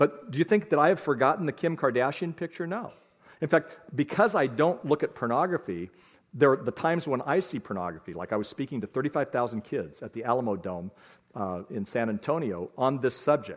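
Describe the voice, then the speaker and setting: A man speaks at a fairly quick pace in a fairly high pitch, with vocal fry and very wide pitch swings. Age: 60s. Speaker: parenting speaker. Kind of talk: lecture.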